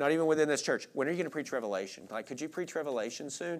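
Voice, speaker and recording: Spoken in a normal speaking voice, the delivery carries lively intonation. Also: man. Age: 30s. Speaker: Bible teacher. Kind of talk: Bible study teaching. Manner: conversational.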